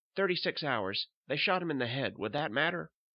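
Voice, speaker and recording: A put-on character voice from a man, medium in pitch, with very wide pitch swings at a fairly quick pace. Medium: read story.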